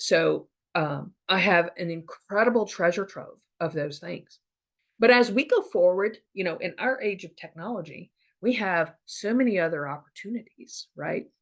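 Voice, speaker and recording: This is a normal speaking voice with lively intonation at a moderate pace. Its loudness swings widely. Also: woman, medium pitch for a woman. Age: 50s. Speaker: podcaster on family history. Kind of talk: casual monologue. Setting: Zoom recording. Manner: conversational, many fillers.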